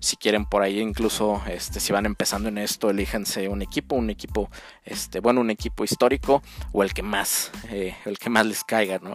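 Lively intonation marks a man's fairly low voice, a plain, everyday voice, delivered at a moderate pace. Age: 30s. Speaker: sports podcast host. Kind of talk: solo podcast commentary.

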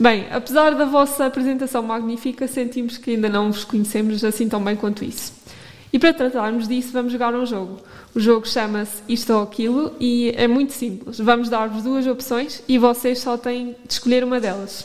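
With noticeable background noise behind her, a woman talks at a high pitch and a moderate pace with fairly even intonation. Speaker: radio host. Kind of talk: casual chat. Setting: studio.

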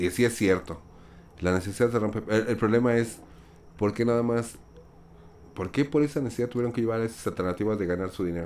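This man talks at a very fast pace, with long, frequent pauses. His pitch is medium for a man, with ordinary pitch variation. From Mexico. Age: 40s. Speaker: podcast guest. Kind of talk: casual chat.

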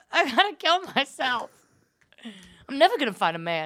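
With an American accent, a woman uses a raised, projected voice of bright, sharp tone and very wide pitch swings. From New York area. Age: 20s. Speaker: comedian and podcast host. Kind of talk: casual chat. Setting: studio.

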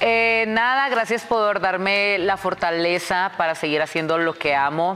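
A woman talks at a moderate pace, her pitch varying in an ordinary way, with music in the background. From Tijuana, Mexico. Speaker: social media personality and dancer. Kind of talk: casual chat. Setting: studio.

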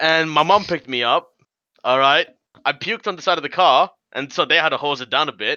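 A man with an Australian accent talks at a very fast pace, his fairly high pitch showing ordinary variation. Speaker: podcast co-host. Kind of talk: casual chat.

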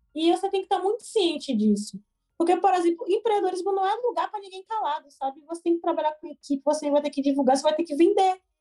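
A woman with a Bahian accent, lively intonation and a very fast pace. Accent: Bahian Brazilian Portuguese. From Brazil, Salvador (Bahia). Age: 20s. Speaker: entrepreneur, education startup founder. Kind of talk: casual interview.

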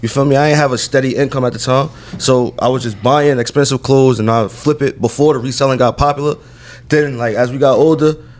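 Noticeable background noise sits behind a man who talks at a fairly quick pace with a medium pitch and fairly even intonation. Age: 20s. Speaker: clothing store co-owner. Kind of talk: casual chat.

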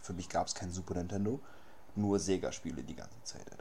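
A man's very deep, low pitch with ordinary pitch variation and audible room echo. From Berlin. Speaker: podcast host. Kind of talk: casual chat.

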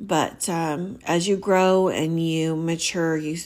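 A woman speaks with a fairly low pitch. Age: 40s. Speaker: podcast host. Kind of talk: solo podcast monologue. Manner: hesitant, many fillers.

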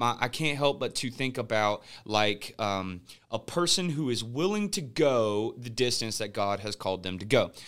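The recording is very clean, with a silent background. A male speaker talks at a medium pitch. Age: young. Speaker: podcast host and pastor. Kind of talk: casual chat.

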